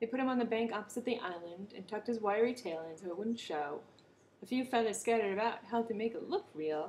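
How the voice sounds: The clip features a natural reading voice. That voice carries the whole recording.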